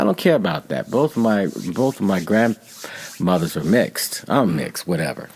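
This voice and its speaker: A man speaks with an American accent and very wide pitch swings. Noticeable background noise runs underneath. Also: fairly low pitch for a man, moderate pace. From Texas. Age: 60s. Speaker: painter. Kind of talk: interview.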